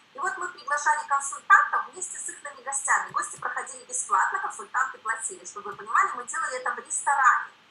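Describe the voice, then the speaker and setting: A woman projects her raised voice at a very fast pace, bright and sharp in tone and high in pitch. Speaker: network marketing director. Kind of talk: seminar talk.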